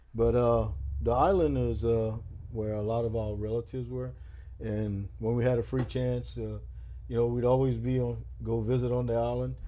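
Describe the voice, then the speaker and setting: A relaxed-sounding man at a moderate pace, with audible room echo. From Louisiana, Terrebonne Parish (Houma). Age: 60s. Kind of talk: oral history interview. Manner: relaxed, hesitant with many uh fillers.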